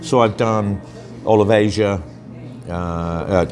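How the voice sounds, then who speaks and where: A man talks at a very slow pace, with audible room echo and noticeable background noise. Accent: Birmingham. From England, Birmingham. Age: 60s. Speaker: interviewee, expat traveller. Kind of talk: casual interview.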